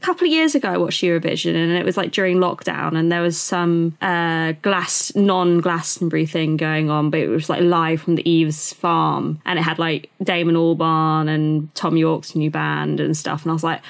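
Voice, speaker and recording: Flat, monotone woman's voice with a British accent. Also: fairly low pitch for a woman, moderate pace, hardly any pauses. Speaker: podcast co-host. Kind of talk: casual chat.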